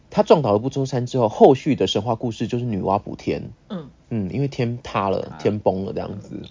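A man speaks quietly at a medium pitch. His pace is fairly quick. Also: ordinary pitch variation, hardly any pauses. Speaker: podcast co-host. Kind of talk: casual chat. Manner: animated; quiet this time.

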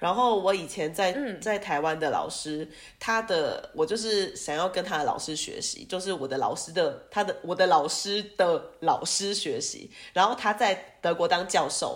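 In a normal speaking voice, a woman talks at medium pitch and a fairly slow pace with ordinary pitch variation. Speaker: music teacher and entrepreneur. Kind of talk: casual interview.

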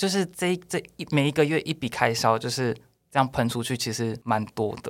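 A man's plain, everyday voice at medium pitch and moderate pace, with ordinary pitch variation, on a very clean recording with a silent background. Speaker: expat worker in Japan. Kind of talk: casual chat.

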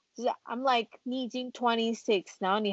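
A woman with a Taiwanese accent speaks at a moderate pace. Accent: Taiwanese Mandarin. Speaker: office worker at a wine importer. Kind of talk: casual chat.

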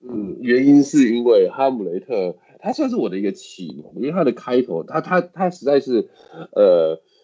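A man with a Taiwanese accent speaks at a moderate pace and medium pitch, with very wide pitch swings and big swings in loudness. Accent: Taiwanese Mandarin. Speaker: English teacher. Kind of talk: casual interview chat.

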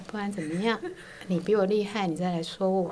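A woman at a medium pitch talks with ordinary pitch variation amid noticeable background noise. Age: 50s. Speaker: host's mother. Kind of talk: interview. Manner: hesitant, many fillers.

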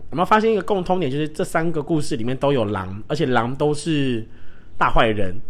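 A man's lively intonation in a room with audible echo. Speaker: podcast host who works with children. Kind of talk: solo casual talk. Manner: emotional, animated.

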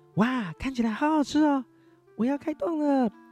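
Faint music plays behind a high-pitched, put-on character voice delivered at a moderate pace. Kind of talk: child-directed storytelling. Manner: cheerful, excited.

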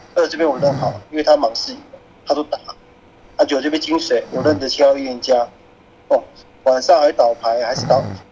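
The delivery is fairly quick, with fairly even intonation and long, frequent pauses. Noticeable background noise runs underneath. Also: man, fairly high pitch for a man. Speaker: werewolf game player. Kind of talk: game discussion.

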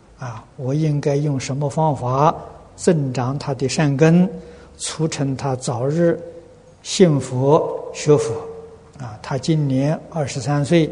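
Very slow speech from a man with a fairly high pitch and fairly even intonation, over noticeable background noise. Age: old. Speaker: Buddhist teacher answering questions. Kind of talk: dharma talk answering questions.

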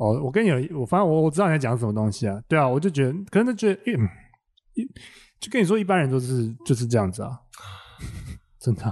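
Speaking at a very fast pace, a man with a medium pitch swings his pitch very widely. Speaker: comedian. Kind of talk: casual chat. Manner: animated.

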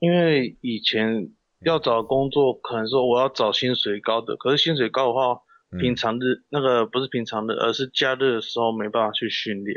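A man at medium pitch, moderate pace and fairly even intonation. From Taiwan, Kaohsiung. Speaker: professional wrestler. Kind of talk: interview. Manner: halting; shy.

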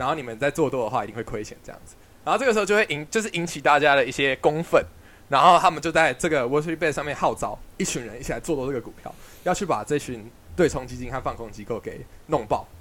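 Very fast and with lively intonation, a man with a fairly high pitch speaks in big swings of loudness. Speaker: podcast host, student investor. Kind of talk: casual chat.

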